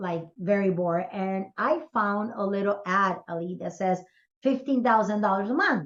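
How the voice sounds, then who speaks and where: At a moderate pace, a woman with a Spanish accent speaks at medium pitch with ordinary pitch variation. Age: 60s. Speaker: business coach. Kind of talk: podcast interview.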